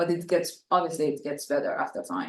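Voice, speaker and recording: This woman has a non-native accent. Her pitch sits fairly low. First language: not English. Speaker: international student. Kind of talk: panel discussion.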